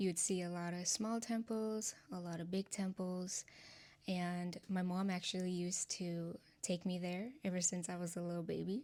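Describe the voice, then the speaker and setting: A woman with a Nepali accent speaks at a moderate pace and medium pitch, her tone dark and mellow and her intonation fairly even. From Nepal, Kathmandu. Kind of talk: testimony. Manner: casual, conversational.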